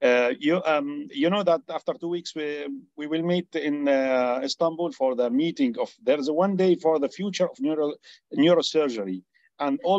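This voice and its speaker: A man with an Arabic accent, lively intonation and a moderate pace, in a dry sound with no echo and a quiet background. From Syria. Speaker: neurosurgeon. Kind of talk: Q&A comment in webinar. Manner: halting. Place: home room. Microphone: video call.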